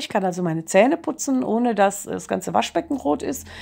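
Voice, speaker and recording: A woman speaks with vocal fry. Her pitch swings very widely. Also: quiet background. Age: 50s. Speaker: kindergarten teacher giving a testimonial. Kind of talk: testimony. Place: home room. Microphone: phone near.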